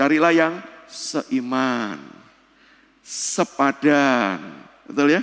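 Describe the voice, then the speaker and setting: Speaking at a very slow pace with long, frequent pauses, a man shows ordinary pitch variation. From Indonesia. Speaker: speaker. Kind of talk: church seminar lecture. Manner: conversational, addresses audience directly. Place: church.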